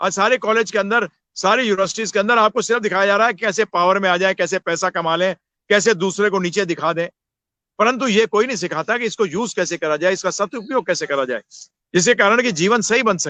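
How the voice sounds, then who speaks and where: Raising and projecting his voice, a man with a high pitch and a bright, sharp tone is heard in a dry, close sound with no echo over a quiet background. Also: ordinary pitch variation, moderate pace. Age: 60s. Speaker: spiritual teacher. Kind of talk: interview on spirituality. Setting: live video session.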